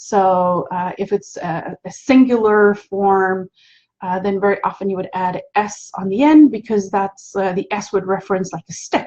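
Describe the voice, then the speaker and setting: A woman talks at a moderate pace. Her voice sounds somewhat breathy. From South Africa. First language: Afrikaans. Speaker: spiritual teacher and hypnotherapist. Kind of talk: live stream talk.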